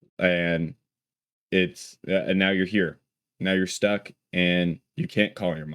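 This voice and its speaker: A man speaks slowly-ish, at a fairly slow pace, in a very deep, low pitch with monotone, flat intonation. The recording is very clean, with a silent background and a dry, close sound with no echo. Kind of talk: casual talk to camera. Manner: stutters.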